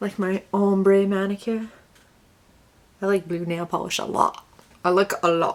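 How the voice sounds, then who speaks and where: With an American accent, a woman speaks at medium pitch in a monotone, flat delivery, at a fairly slow pace with long, frequent pauses. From Connecticut, then US South. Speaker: beauty vlogger. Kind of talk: makeup tutorial vlog. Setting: home video, tripod. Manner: chatty, casual.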